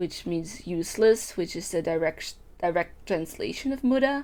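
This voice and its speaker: In a Dutch accent, a woman speaks fairly slowly in a fairly low voice with a dark, mellow tone and very wide pitch swings. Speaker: VTuber streamer. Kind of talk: casual chat.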